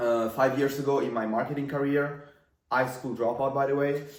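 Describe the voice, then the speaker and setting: A man with an Italian accent talks at a moderate pace and a fairly high pitch. His intonation is monotone and flat, with audible room echo. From Italy. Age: 20s. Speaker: marketing entrepreneur. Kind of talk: casual talking-head video. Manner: casual, filler-heavy.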